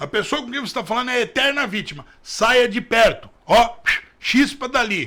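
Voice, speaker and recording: Animated and in a raised, projected voice, a man with an extremely high pitch and a bright, sharp tone talks at a moderate pace, with ordinary pitch variation and big swings in loudness. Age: 40s. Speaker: political commentator. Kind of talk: news commentary.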